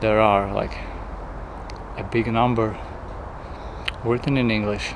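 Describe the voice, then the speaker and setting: Noticeable noise fills the background behind a speaking man. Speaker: travel vlogger. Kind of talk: travel vlog narration.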